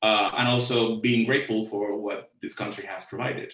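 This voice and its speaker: A man speaks with a Cuban accent at a medium pitch. His pace is moderate. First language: Spanish. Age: 40s. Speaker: creative director. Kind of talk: conference talk. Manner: halting, many fillers.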